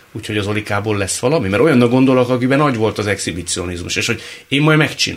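Noticeable background noise fills the recording. Over it, a man talks very fast. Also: medium pitch for a man, ordinary pitch variation. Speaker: radio host. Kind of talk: interview. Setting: studio.

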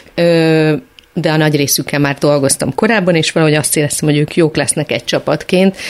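A woman speaks at a very fast pace with a very deep, low pitch and fairly even intonation. Her loudness stays very even over noticeable background noise. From Hungary, Szeged. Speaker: choreographer. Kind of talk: radio interview.

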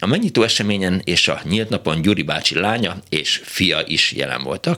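A man speaks over noticeable background noise. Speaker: radio host. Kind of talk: call-in radio show. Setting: studio.

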